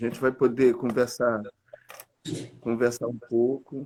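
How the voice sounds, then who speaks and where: Monotone, flat intonation from a man with a medium pitch. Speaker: church leader. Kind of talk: casual chat. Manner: soft-spoken.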